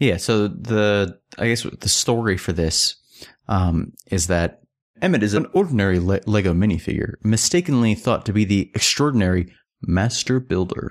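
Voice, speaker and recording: A man with an American accent talks at a moderate pace in a plain, everyday voice, fairly low in pitch with ordinary pitch variation and very even loudness, on a very clean recording with a silent background. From United States. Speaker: podcast co-host. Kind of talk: casual chat.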